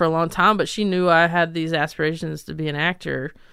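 This woman has an American accent and a fairly low pitch, with fairly even intonation. The recording is very clean, with a silent background. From North Carolina, near Charlotte. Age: 30s. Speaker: stand-up comedian. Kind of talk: casual interview chat.

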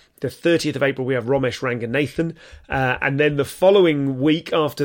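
An excited, fairly high-pitched man with an English accent at a fairly quick pace. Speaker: comedian and podcast host. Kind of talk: casual monologue to listeners. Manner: fast, excited.

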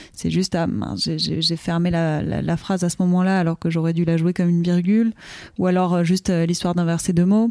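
A woman with a strong southern French accent talks at a moderate pace in a fairly low pitch, her dark, mellow tone delivered with monotone, flat intonation and very even loudness in a dry, close sound with no echo. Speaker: comedian. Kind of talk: casual chat. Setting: live stream.

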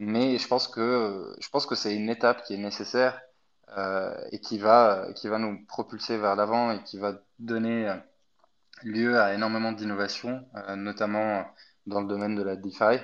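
A man's fairly low voice, monotone and flat, at a fairly slow pace against a quiet background. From Egypt. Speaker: crypto company employee. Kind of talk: interview.

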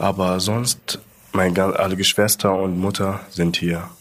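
Intonation stays monotone and flat in a voice with an Arabic accent. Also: man. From Libya (Sudanese roots). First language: Arabic (speaking German). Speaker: shift leader and social media creator. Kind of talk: casual interview. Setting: recorded at company headquarters in Munich.

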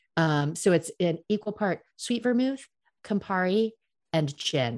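In an American accent, a woman with a plain, everyday voice and medium pitch speaks fairly slowly with lively intonation. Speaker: cocktail expert, American expat in Paris. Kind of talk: casual interview chat.

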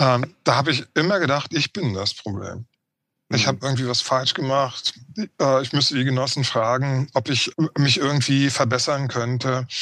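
A man talks in a plain, everyday voice at medium pitch, with ordinary pitch variation and a moderate pace. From East Berlin, former GDR. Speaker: historian of migration. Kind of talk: interview conversation.

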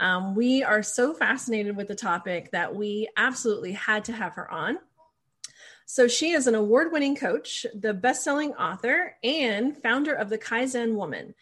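Her ordinary speaking voice sits at a fairly high pitch, and the woman talks with lively intonation at a moderate pace. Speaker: podcast host. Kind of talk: casual chat. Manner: informal, chatty.

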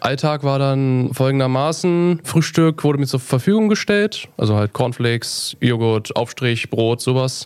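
With noticeable background noise behind it, the voice moves at a fairly slow pace, very even in loudness and with hardly any pauses. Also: man, medium pitch for a man, lively intonation. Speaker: metalwork apprentice. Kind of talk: casual interview. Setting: studio.

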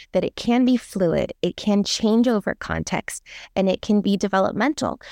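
A woman speaks at a fairly quick pace and medium pitch with ordinary pitch variation, in a dry, close sound with no echo against a quiet background. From US West Coast, San Francisco Bay Area. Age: 40s. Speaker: clinical psychologist. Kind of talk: interview.

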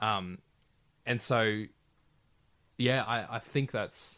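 A man with an Australian accent speaks at a medium pitch in a bright, sharp tone, on a very clean recording with a silent background. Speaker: radio announcer. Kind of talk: casual chat. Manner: halting.

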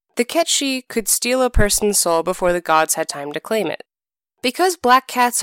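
Intonation is lively in an unforced reading voice. Nothing much stirs in the quiet background.

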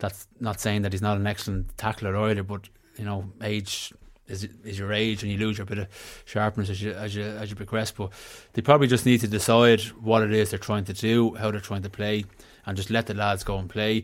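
With a Dublin accent, a man talks in a flat monotone, recorded very cleanly against a silent background. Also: fairly low pitch for a man, fairly quick pace. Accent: Dublin Irish. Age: 30s. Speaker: former footballer and pundit. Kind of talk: casual sports chat.

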